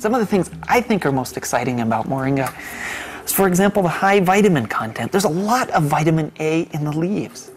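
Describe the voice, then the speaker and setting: Over light background noise, a man talks at a fairly quick pace with very wide pitch swings. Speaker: interviewee. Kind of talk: interview answer. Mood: enthusiastic, smiling. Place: office.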